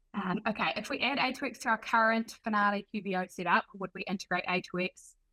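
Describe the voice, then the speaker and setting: The woman's tone is bright and sharp, at a moderate pace. Her sound is dry and close, with no echo. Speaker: product marketer. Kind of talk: webinar.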